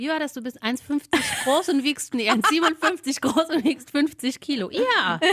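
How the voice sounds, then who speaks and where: Against noticeable background noise, a high-pitched woman talks very slowly with lively intonation and hardly any pauses. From Odenwald, southern Hesse. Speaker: podcast co-host. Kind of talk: casual chat.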